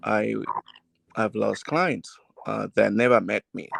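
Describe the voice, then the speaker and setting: This man speaks with a Nigerian accent at a fairly slow pace. The sound is dry and close, with no echo. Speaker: realtor and salesperson. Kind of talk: casual family podcast discussion. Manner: deliberately slow; hesitant, with fillers.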